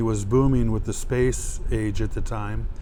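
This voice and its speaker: Audible room echo and noticeable background noise accompany a man talking at a moderate pace. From Florida (Melbourne), moved from Milwaukee at age 8. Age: 60s. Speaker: archaeologist, local history interviewee. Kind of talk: oral history interview. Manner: hesitant, many fillers.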